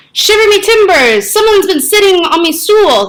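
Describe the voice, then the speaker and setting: In a put-on character voice, this woman's pitch climbs extremely high. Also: moderate pace. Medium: read story. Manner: booming, blustering.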